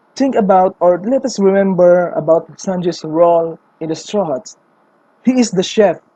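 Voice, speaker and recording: A woman with a non-native accent speaks at a moderate pace, her medium pitch showing ordinary variation. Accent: non-native English accent, self-described. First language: not English. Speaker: anime fan theorist. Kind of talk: casual video commentary. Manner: animated.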